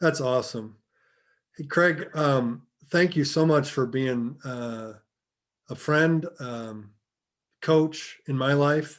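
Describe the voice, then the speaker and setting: Long, frequent pauses mark this man's very slow delivery. His pitch is fairly high, with ordinary variation. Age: 50s. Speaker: podcast host. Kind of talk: podcast interview.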